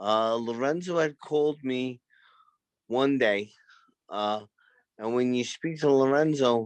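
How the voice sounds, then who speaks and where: In a Brooklyn accent, a man talks at a very slow pace with long, frequent pauses. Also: medium pitch for a man, ordinary pitch variation. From Brooklyn, New York. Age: 50s. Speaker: former boxer, gym owner. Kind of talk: interview.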